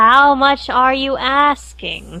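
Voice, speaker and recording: A woman uses a put-on character voice at a high pitch over light background noise. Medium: actual play. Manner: sly, wheedling.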